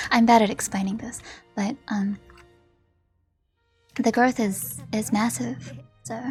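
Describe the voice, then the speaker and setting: Over music in the background, a woman talks at a very slow pace and a medium pitch. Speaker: video game streamer.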